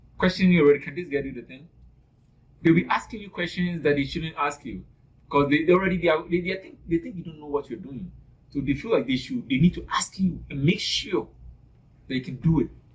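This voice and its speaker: With an African accent, this speaker talks at a fairly quick pace in an animated tone, with ordinary pitch variation and big swings in loudness. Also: man, fairly high pitch for a man. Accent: African accent, noticeable. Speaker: nursing student. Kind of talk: interview. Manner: animated, repeats words.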